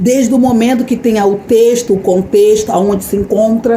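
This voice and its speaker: A woman's fairly high voice with ordinary pitch variation, at a fairly slow pace, with noticeable background noise and audible room echo. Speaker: lay preacher. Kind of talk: sermon. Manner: animated.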